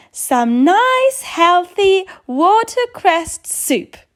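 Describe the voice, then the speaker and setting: A woman puts on a squeaky character voice at an extremely high pitch and speaks at a very slow pace. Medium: read story. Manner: firm, bossy.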